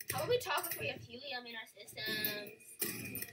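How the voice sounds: Set against music in the background, a squeaky put-on character voice speaks at a fairly high pitch and a moderate pace.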